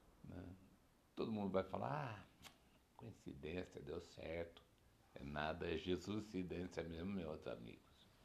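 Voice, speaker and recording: With vocal fry and a very deep, low pitch, a man speaks at a fairly slow pace with ordinary pitch variation. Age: 60s. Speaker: podcaster. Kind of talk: personal reflection monologue. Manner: warm, laughing.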